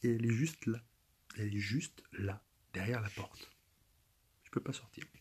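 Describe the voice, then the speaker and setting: Whispering at a fairly slow pace, a man sounds somewhat breathy. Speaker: youtuber. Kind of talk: casual vlog monologue. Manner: stammering, repeating words.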